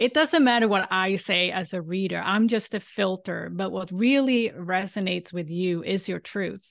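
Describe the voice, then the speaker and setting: Against a quiet background, a woman with a Swedish accent speaks at a moderate pace and medium pitch, with ordinary pitch variation and hardly any pauses. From Sweden. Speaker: galactic astrologer. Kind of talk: casual interview.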